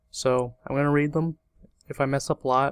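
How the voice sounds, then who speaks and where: Mumbling at a moderate pace in a monotone, flat intonation, the voice has a dry, close sound with no echo. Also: man. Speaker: gaming commentator. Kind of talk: let's play commentary. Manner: casual.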